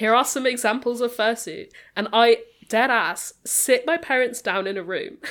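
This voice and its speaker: A woman with a British accent speaks in a high voice. Her intonation is lively and her pace moderate. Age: 20s.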